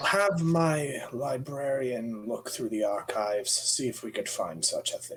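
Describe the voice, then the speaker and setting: A put-on character voice from a man, fairly high in pitch. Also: moderate pace. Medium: actual play.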